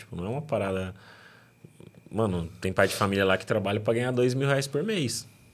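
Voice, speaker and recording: This man's voice is a plain, everyday voice. It sits fairly low and varies in pitch in an ordinary way. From São Paulo state interior, Brazil. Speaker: podcast host. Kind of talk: casual interview. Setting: studio.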